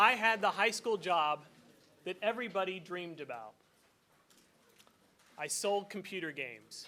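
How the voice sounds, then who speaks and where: A man with a high, bright, sharp voice raises and projects it at a moderate pace, with long, frequent pauses. His intonation is lively, and his loudness swings widely. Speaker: event host. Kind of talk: introduction speech.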